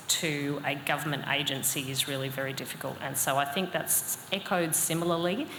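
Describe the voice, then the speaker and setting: Amid audible room echo and noticeable background noise, a woman with a very deep, low voice speaks at a moderate pace in an Australian accent. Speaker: cybersecurity consultant. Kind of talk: panel discussion. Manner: hesitant, many fillers.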